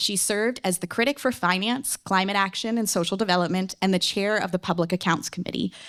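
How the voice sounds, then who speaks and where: A woman talks at a very fast pace with hardly any pauses. Her loudness stays very even, and the recording is very clean with a silent background. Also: medium pitch for a woman, ordinary pitch variation. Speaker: debate moderator. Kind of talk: moderating a public debate. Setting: stage with audience.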